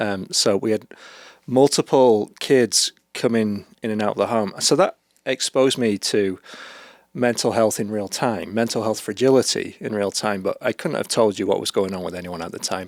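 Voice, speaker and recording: A man with a British accent speaks at a medium pitch and fairly quick pace, with ordinary pitch variation. The recording is very clean and silent in the background, with a dry, close sound and no echo. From UK. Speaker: therapist and author. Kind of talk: podcast interview.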